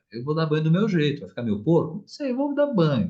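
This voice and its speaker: Here a man speaks with a fairly high pitch. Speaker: therapist giving a live talk. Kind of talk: online talk on parenting. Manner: animated, colloquial.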